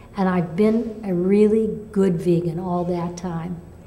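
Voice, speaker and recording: In a room with audible echo, a woman speaks at a very slow pace with ordinary pitch variation. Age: 70s. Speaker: patient sharing recovery story. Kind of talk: testimony. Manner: halting.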